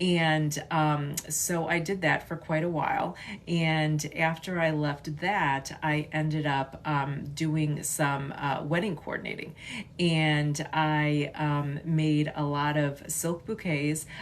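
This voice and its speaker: A woman with a Chicago accent speaks very slowly at a very deep, low pitch with monotone, flat intonation. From US Midwest, western suburbs of Chicago. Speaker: artist and content creator. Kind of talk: casual livestream chat. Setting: livestream. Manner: halting, many fillers.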